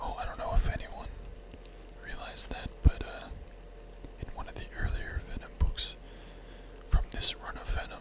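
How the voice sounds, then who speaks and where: Whispering at a moderate pace with long, frequent pauses, the voice comes through noticeable background noise. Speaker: streamer. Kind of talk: casual livestream chat about comic books, talking to viewers.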